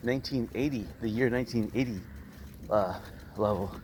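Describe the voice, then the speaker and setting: The delivery moves at a moderate pace with fairly even intonation. Noticeable background noise is present. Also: man. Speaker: vlogger. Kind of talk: casual vlog narration. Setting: outdoors on a beach, bicycling.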